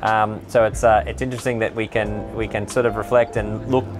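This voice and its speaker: Clear music plays in the background as a man speaks in a fairly low pitch with fairly even intonation. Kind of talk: interview answer. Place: boat.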